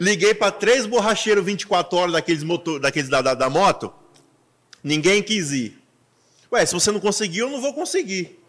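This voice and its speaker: The voice has an animated tone and lively intonation. Its pace is moderate. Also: man, high pitch for a man. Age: 30s. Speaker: podcast host and pastor. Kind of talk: casual chat.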